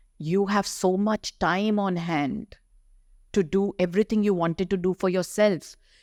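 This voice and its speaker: A woman's fairly low-pitched voice at a moderate pace, a plain, everyday voice, in a very clean recording with a silent background. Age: 60s. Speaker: doctor and health advocate. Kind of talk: podcast interview.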